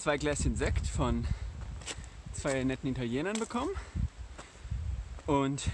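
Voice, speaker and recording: Male speech, dry and echo-free, with noticeable noise behind it. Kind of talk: casual vlog chat. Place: open country. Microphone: phone near.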